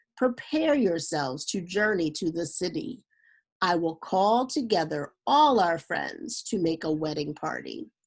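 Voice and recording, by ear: A woman puts on a character voice with a slightly husky edge and big pitch swings, speaking at a fairly slow pace. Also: fairly low pitch for a woman.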